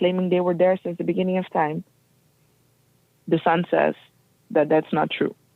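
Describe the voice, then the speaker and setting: A woman speaks at a fairly quick pace with a non-native accent. Her pitch is fairly low. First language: not English. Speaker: guest speaker on race and history. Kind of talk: interview. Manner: halting.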